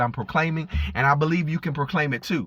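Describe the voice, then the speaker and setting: The man speaks with a fairly high pitch. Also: very clean recording, silent background. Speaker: preacher. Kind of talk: informal sermon. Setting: in a car. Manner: fast; halting with repetitions.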